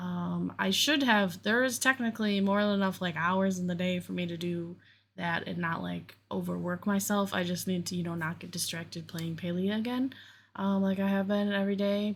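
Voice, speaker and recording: At a fairly quick pace, a woman with a medium pitch and a somewhat breathy voice speaks with fairly even intonation. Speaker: crochet crafter and vlogger. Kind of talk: casual crafting vlog chat. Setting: home basement. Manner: rambling with frequent fillers and restarts.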